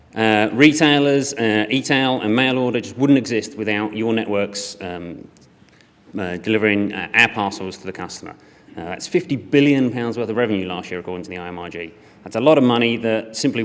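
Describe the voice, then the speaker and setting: In a room with audible echo, a man with a fairly low voice talks at a fairly quick pace, with ordinary pitch variation and big swings in loudness. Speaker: e-commerce operations director. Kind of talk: conference talk. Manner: hesitant with fillers.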